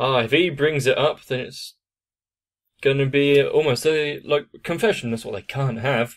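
Against a quiet background, a man keeps a moderate pace, and his pitch varies in an ordinary way. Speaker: anime reaction youtuber. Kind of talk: commentary. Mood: relaxed, amused.

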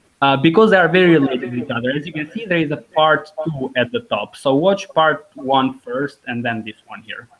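A man with an Albanian accent speaks at a fairly high pitch. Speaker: language teacher. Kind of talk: online language lesson. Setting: live video call. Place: home room. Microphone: video call.

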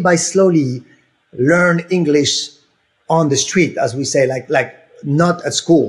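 Against a quiet background, a man with a French accent talks at a moderate pace. His pitch is high. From Senegal, West Africa (French family). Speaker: helicopter pilot and aerial coordinator for film; podcast guest. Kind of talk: casual interview. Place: home room. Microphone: earbuds.

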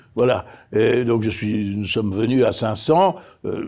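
Very slowly, a man talks against a quiet background. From France. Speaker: politician. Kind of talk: interview. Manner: halting. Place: studio.

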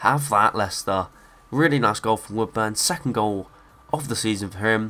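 Medium-pitched male speech, moderately paced, ordinary pitch variation, noticeable background noise behind it. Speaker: gaming YouTuber. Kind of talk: video game let's play with live-style football commentary. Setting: home recording over gameplay. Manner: animated, excitable, rising in pitch on goals.

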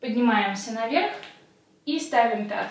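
In a room with audible echo, a woman with a high pitch talks at a fairly slow pace with ordinary pitch variation. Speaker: fitness instructor. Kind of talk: exercise instruction. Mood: calm, lightly humorous. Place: home room.

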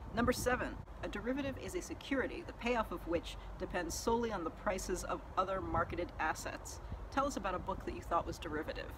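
Very fast talking from a woman, with noticeable noise behind it. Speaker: book reviewer. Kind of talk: casual talk to camera. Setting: outdoors. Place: street. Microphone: lapel.

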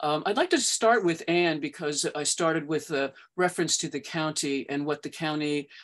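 A woman talks at a moderate pace in a very deep, low pitch. The background is quiet. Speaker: meeting moderator for advocacy group. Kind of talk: moderated meeting. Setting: video call. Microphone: webcam.

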